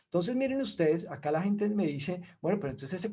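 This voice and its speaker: The background is quiet as a man talks with lively intonation. His voice sits high in pitch and has a dark, mellow tone. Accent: Colombian. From Colombia. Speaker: investment expert, webinar speaker. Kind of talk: webinar presentation.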